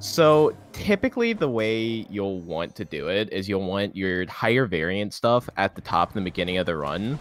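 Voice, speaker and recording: With music in the background, the speech moves at a moderate pace with lively intonation and hardly any pauses. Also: man, fairly low pitch for a man. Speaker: marathon host. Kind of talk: live commentary.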